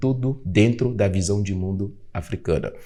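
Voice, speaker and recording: The voice has a dark, mellow tone and a Beninese accent. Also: man. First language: Fongbe (speaking Portuguese). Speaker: podcast host and African culture educator. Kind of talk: podcast conversation.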